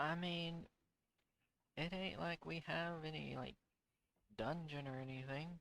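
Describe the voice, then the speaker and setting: Drawling at a fairly slow pace with long, frequent pauses, a man puts on a character voice pitched fairly high. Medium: actual play. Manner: casual, drawling, folksy.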